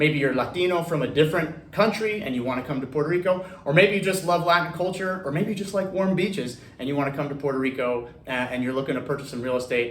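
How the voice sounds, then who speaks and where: With an American accent, a man rattles along at a very fast pace with hardly any pauses, a fairly high pitch and ordinary pitch variation, amid noticeable background noise and audible room echo. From US, Central Florida east coast. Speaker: real estate loan advisor and video host. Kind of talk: casual explainer video. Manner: many fillers and repeated words.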